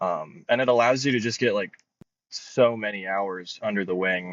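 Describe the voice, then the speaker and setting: Someone with an ordinary speaking voice and an American accent speaks at a fairly slow pace with fairly even intonation. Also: man. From Florida, near Tampa. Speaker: paraglider and speed flyer. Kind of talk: podcast interview. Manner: casual, many fillers.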